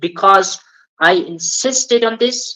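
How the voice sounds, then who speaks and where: A woman with an Afghan accent speaks very slowly in a bright, sharp tone. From Afghanistan. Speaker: English learner. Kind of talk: casual interview, storytelling. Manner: halting, many fillers.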